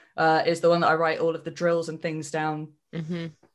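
A woman speaks with a Cornish accent at a very deep, low pitch. The background is quiet. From England, Cornwall. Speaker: professional wrestler. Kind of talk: casual chat.

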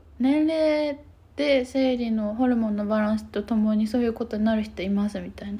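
A woman speaks at a fairly high pitch with a dark, mellow tone. Her pitch shows ordinary variation. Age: 20s. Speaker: podcast co-host, counselor. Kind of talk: casual chat.

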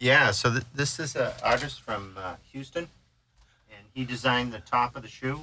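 A man speaks at a medium pitch in a bright, sharp tone. His pace is moderate. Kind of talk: casual interview.

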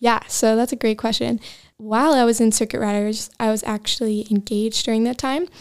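In an ordinary speaking voice, a woman talks at a fairly quick pace with an American accent, fairly high pitch and fairly even intonation, on a very clean recording with a silent background. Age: 20s. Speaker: church member sharing testimony. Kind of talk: testimony.

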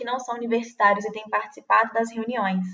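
A woman with an unremarkable speaking voice, fairly high in pitch, with fairly even intonation. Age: 20s. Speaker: student campus ministry volunteer. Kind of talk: casual interview chat.

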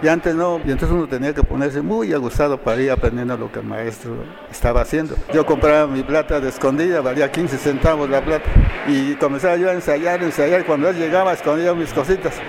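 A man with a fairly high voice speaks fairly quickly, varying his pitch an ordinary amount, as noticeable background noise carries on. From Oaxaca city, Mexico. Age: 70s. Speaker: silver filigree artisan. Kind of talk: interview.

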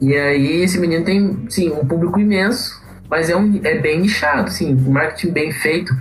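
Music plays in the background as a woman with a fairly low pitch speaks at a very even loudness, with audible room echo. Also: ordinary pitch variation, moderate pace. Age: 30s. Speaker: musician and marketer. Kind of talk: podcast interview.

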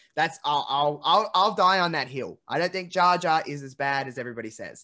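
A man talks at a fairly quick pace in a fairly high pitch. The recording is very clean, with a silent background. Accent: Australian. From Australia. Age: 20s. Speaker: podcast host. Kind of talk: casual chat.

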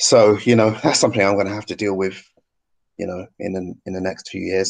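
A man's very deep, low voice in a British accent, fairly quick and monotone, flat, over a quiet background. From UK. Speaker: YouTube channel host, ex-Jehovah's Witness. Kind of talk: interview.

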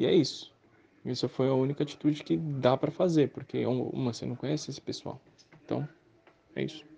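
Long pauses come often in this clip. Between them, a man talks fairly quickly. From Brazil. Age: 20s. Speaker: interviewee, gamer. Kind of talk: interview testimony. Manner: casual, hesitant.

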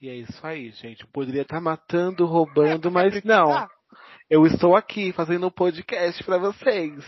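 A man with a high voice speaks at a moderate pace, his pitch varying in an ordinary way. His loudness swings widely from moment to moment. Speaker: podcast co-host. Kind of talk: casual chat.

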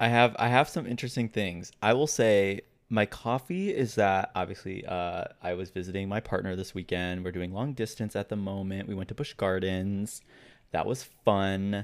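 A man talks in a plain, everyday voice with a fairly low pitch and ordinary pitch variation, keeping a moderate pace. The recording is very clean, the background silent. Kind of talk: casual chat. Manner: excitable.

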